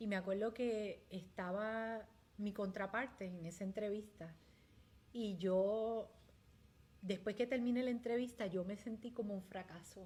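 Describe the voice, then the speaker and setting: Fairly slow speech in a dark, mellow tone, somewhat breathy, with fairly even intonation. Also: woman, medium pitch for a woman. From Puerto Rico. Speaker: community leader. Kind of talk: interview testimony.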